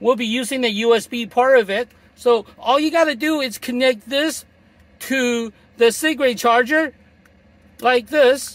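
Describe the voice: At a fairly slow pace, a man speaks with an extremely high pitch.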